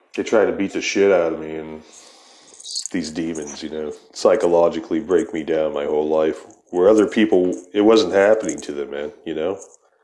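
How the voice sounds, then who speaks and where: Over noticeable background noise, a man with an American accent and a very deep, low pitch speaks at a moderate pace, with ordinary pitch variation and big swings in loudness. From Ohio. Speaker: podcast host. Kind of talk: casual chat.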